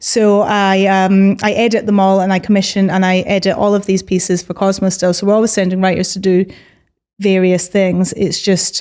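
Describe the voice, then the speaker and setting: A woman with a Scottish accent at a medium pitch and moderate pace, flat and monotone, her loudness very even. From Scotland, Edinburgh. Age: 30s. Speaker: magazine editor and journalist. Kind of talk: podcast interview.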